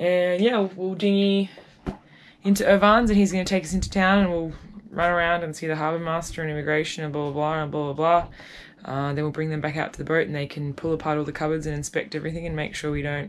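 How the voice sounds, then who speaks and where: Over light background noise, a woman with a fairly low pitch talks at a very fast pace with ordinary pitch variation. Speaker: sailing vlogger. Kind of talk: casual vlog chat. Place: boat. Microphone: phone near.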